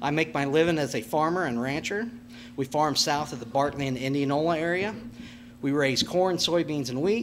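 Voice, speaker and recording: Fairly high-pitched man with an American accent, moderate pace and ordinary pitch variation, over noticeable background noise. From Nebraska, US Midwest. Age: 40s. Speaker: farmer and school board candidate. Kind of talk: candidate forum speech. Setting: public candidate panel. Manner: halting.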